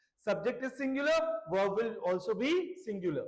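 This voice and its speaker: Moving at a moderate pace, a man speaks with lively intonation at an extremely high pitch, with audible room echo. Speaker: English grammar teacher. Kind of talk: lecture.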